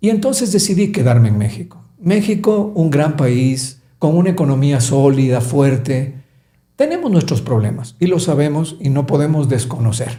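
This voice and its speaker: A man with a fairly high pitch and a dark, mellow tone speaks at a moderate pace, somewhat breathy, with lively intonation, very even loudness and audible room echo. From Ecuador, Quito. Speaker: business coach. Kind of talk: podcast interview.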